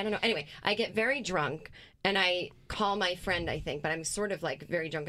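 A woman with an American accent and an unremarkable speaking voice, medium in pitch, at a fairly quick pace. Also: very clean recording, silent background. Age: 40s. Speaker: comedian. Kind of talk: casual chat.

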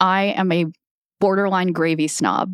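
A woman with an American accent speaks in a normal speaking voice at medium pitch and a moderate pace, recorded very cleanly against a silent background with a dry, close sound and no echo. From US, Filipino family. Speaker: podcast producer. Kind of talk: casual chat.

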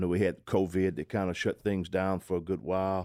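Heard on a very clean recording with a silent background, a man speaks with a Southwest Louisiana accent. His very deep, low pitch has a dark, mellow tone in a dry, close sound with no echo. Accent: Southwest Louisiana Creole English. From Southwest Louisiana, Calcasieu Parish. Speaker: zydeco musician. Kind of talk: casual interview.

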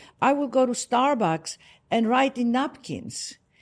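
With a Greek accent, a woman speaks at a high pitch with ordinary pitch variation. The background is quiet. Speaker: author and speaker. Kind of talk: guided meditation and interview. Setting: in person in Cartagena, Colombia. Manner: warm, animated.

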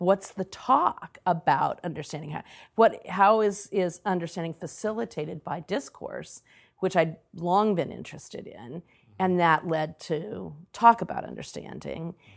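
A woman speaks at a fairly low pitch with vocal fry, ordinary pitch variation and big swings in loudness. The recording is very clean, with a silent background. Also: fairly slow pace. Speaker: author and education consultant. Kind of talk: interview conversation.

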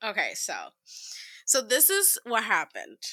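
The woman's tone is bright, sharp and animated, at a fairly slow pace. The sound is dry and close with no echo, a very clean recording against a silent background. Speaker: podcast co-host. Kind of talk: casual chat. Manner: animated, laughs a lot.

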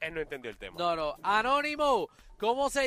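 With a raised, projected voice, a man speaks at an extremely high pitch in a bright, sharp tone. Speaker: radio host. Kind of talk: casual chat. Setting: on-location live remote broadcast.

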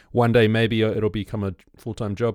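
A man with an Australian accent at a very fast pace, dry and close with no echo, on a very clean recording against a silent background. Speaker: podcast host. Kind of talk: casual chat.

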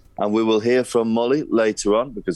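A man at a fairly quick pace. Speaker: press officer. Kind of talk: casual podcast chat.

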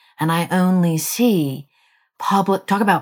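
On a very clean recording with a silent background, a woman's voice is heard. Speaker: investigative journalist and author. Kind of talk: interview.

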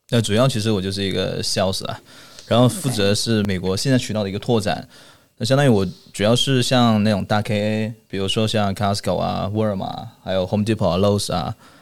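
Fairly even intonation accompanies a fairly quick delivery. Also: man, fairly low pitch for a man. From mainland China. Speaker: international retail channel sales manager. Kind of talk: casual interview chat. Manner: halting with frequent fillers and repetitions.

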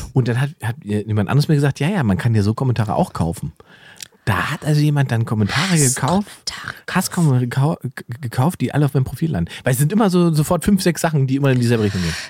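A man's medium-pitched, somewhat breathy voice at a very fast pace, with very wide pitch swings. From eastern Germany, Salzwedel (Saxony-Anhalt). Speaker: comedian and podcast co-host. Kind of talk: casual chat. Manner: animated.

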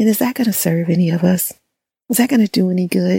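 Somewhat breathy and dark, mellow in tone, the voice moves at a moderate pace with ordinary pitch variation. The sound is dry and close, with no echo. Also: woman. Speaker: hypnotherapist. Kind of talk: calming motivational talk.

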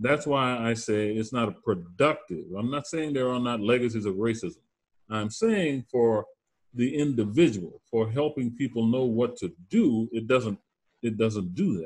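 A man with a medium pitch speaks at a moderate pace in a normal speaking voice. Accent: American. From Louisiana Bayou, US South. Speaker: professor of social psychology. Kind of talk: interview.

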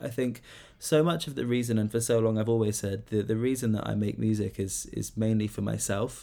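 A man's fairly low, dark and mellow voice, with ordinary pitch variation and a fairly quick pace. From Cornwall, southwest England. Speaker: singer-songwriter. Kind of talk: interview.

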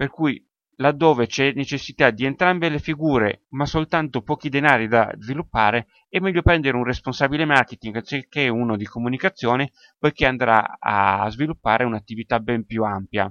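A man with an ordinary speaking voice, medium pitch, ordinary pitch variation and a moderate pace, in a dry, close sound with no echo and a quiet background. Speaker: sports marketing podcaster. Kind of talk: solo educational podcast.

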